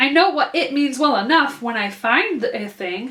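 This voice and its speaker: A woman puts on a character voice with a high pitch. She speaks at a moderate pace. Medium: read story.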